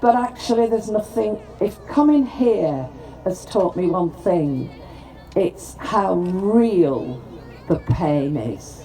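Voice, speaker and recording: With a Lancashire accent, this very slow voice swings very widely in pitch over noticeable background noise. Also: woman, medium pitch for a woman. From northern England, Preston, Lancashire. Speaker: politician, former mayor. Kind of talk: formal speech at ceremony.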